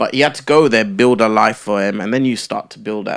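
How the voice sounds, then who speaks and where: A man with a London accent speaks very fast at a medium pitch, his pitch varying in an ordinary way. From London, England (childhood in Kenya). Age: 20s. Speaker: former reality TV contestant and entrepreneur. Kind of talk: casual podcast interview.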